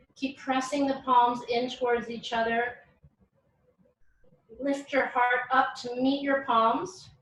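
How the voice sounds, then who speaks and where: A woman's high voice, very slow and flat in a monotone, with long, frequent pauses. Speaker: yoga teacher. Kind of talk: yoga class instruction. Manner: eloquent.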